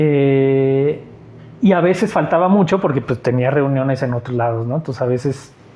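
A man's plain, everyday voice, fairly high in pitch, with ordinary pitch variation and a moderate pace. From Mexico, Aguascalientes. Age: 40s. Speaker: artist and teacher. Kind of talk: casual interview.

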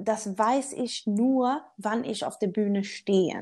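A woman with a Swedish accent speaks with fairly even intonation and a dark, mellow tone. The recording is very clean, with a silent background. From Sweden. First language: Swedish (speaking German). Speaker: motivational speaker. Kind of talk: interview. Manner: halting, searching for words.

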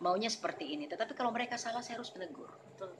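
Noticeable background noise behind a woman with ordinary pitch variation. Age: 40s. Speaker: church elder and youth coordinator. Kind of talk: interview. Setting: podcast recording.

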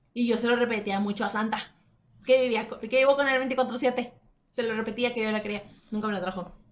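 A woman's high-pitched voice at a moderate pace. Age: young. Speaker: podcast co-host. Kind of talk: casual chat.

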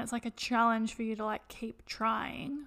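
A woman with an Australian accent speaks at a moderate pace in a high voice. The recording is very clean, with a silent background. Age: 20s. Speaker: podcast co-host. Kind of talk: casual chat.

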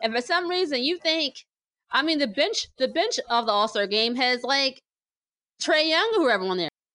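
With an American accent, a woman projects a raised voice at high pitch, with a bright, sharp tone, very wide pitch swings and a moderate pace. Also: very even loudness. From New Jersey. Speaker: podcast host and sports writer. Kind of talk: casual chat.

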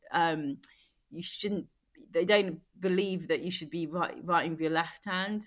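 A woman with a London accent, fairly low in pitch, fairly slow and fairly even in intonation. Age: 40s. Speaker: former Olympic athlete and beauty entrepreneur. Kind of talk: casual chat. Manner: halting.

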